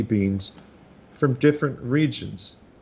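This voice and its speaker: A somewhat breathy man speaks with a fairly high pitch. His pace is fairly slow and his intonation lively. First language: Spanish. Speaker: cigar maker. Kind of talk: interview. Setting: video call. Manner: halting.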